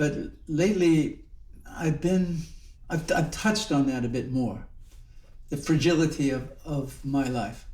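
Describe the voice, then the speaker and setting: Somewhat breathy and fairly high-pitched, a man speaks at a fairly slow pace with ordinary pitch variation, long and frequent pauses, and audible room echo. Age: 70s. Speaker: Zen monk and teacher. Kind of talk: reflective dharma talk. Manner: halting, with many repetitions and fillers.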